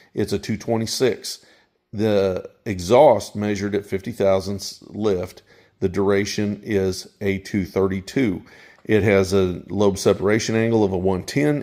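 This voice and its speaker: In a very clean recording with a silent background, a man speaks at a fairly slow pace. His fairly low voice is dark and mellow, with fairly even intonation. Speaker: channel host, engine builder. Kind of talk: technical tutorial. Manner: halting, self-correcting; casual, unscripted.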